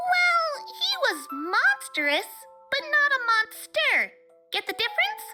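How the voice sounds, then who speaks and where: A squeaky, female-sounding put-on character voice, extremely high-pitched and bubbly and playful, swoops through very wide pitch swings at a fairly slow pace. Faint music plays in the background. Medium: read story. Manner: bubbly, playful.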